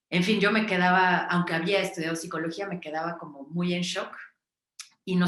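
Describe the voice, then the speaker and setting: A woman speaks at a fairly low pitch with monotone, flat intonation. Audible room echo fills the recording. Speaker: psychologist and narrative practices facilitator. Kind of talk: online workshop talk. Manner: fast; hesitant, many fillers.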